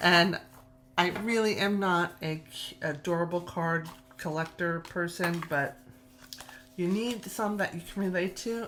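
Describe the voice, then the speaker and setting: A woman's voice with a slight New York accent and ordinary pitch variation. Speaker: tarot youtuber. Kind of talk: casual show-and-tell video. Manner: animated, gushing.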